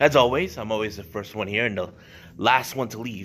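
Pitch varies in an ordinary way as the man talks. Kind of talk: casual vlog chat. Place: church. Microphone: phone near.

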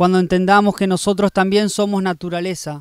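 This is a man speaking. The background is quiet. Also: dry sound with no echo. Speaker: poet. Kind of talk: spoken-word poetry reading. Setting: poetry festival reading. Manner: rhythmic, incantatory delivery with repeated refrains; intimate, reflective, tender. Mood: calm, reflective, intimate. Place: garden. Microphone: handheld.

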